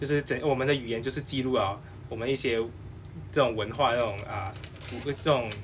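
A man at medium pitch and a very fast pace, with long, frequent pauses, fairly even intonation and audible room echo. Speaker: podcast panel regular. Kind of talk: casual panel discussion. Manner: halting.

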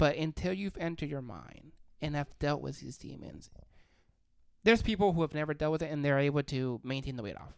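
A woman speaks at a very deep, low pitch in an animated, confident tone, with ordinary pitch variation and big swings in loudness. The recording is very clean, with a silent background. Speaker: podcast co-host. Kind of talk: casual podcast chat. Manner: animated, loud and confident.

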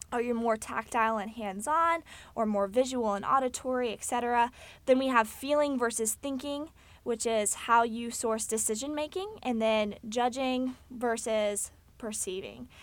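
A woman with a Texan accent, fairly high pitch, ordinary pitch variation and moderate pace, on a very clean recording with a silent background. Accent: Texan American. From Texas, Fort Worth. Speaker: podcast host. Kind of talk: solo informative monologue.

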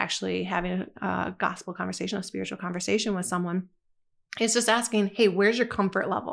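A woman's voice carries vocal fry and fairly even intonation against a quiet background. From Michigan, US. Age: 40s. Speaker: church minister. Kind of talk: casual chat.

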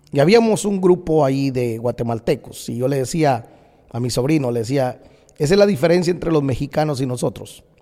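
With lively intonation and a dark, mellow tone, a man speaks at a fairly quick pace and a fairly high pitch. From Guatemala. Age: 40s. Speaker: pastor. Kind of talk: opinion monologue podcast.

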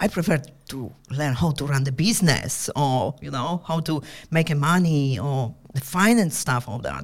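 A woman's very deep, low voice with lively intonation at a fairly slow pace. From Poland. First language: Polish. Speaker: entrepreneur. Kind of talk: casual interview chat. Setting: studio.

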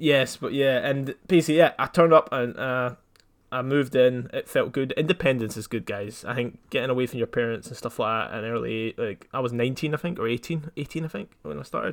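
A man with a Scottish accent, medium pitch and ordinary pitch variation. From Scotland. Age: 20s. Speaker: podcast co-host. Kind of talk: casual chat.

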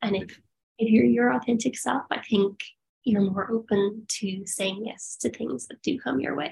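A woman speaks at a medium pitch with vocal fry. Her pitch swings very widely at a moderate pace. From rural Ireland. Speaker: biomedical engineer and yoga teacher. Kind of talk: casual chat. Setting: video call.

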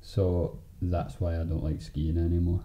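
A man's somewhat breathy voice sits at a very deep, low pitch. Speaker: podcast host and editor. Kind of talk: casual chat, banter. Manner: relaxed, jokey.

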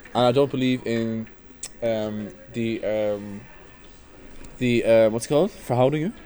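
In an Irish accent, the voice carries a dark, mellow tone. It goes at a fairly slow pace, with long, frequent pauses. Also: man, medium pitch for a man, fairly even intonation. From Ireland. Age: 20s. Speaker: podcast guest. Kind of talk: casual chat.

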